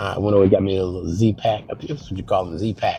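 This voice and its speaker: The speech goes at a very fast pace. Music plays in the background. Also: man. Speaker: vlogger. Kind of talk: casual vlog talk. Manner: halting, many fillers.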